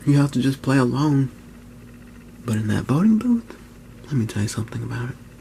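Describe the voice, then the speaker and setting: A man's medium-pitched voice, somewhat breathy, dark and mellow in tone. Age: 20s. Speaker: YouTuber. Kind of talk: personal vlog monologue. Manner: whispering; halting.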